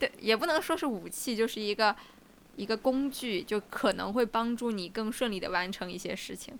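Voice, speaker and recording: This woman has a plain, everyday voice with a fairly high pitch. She moves at a moderate pace with ordinary pitch variation. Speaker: podcast co-host. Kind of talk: casual chat.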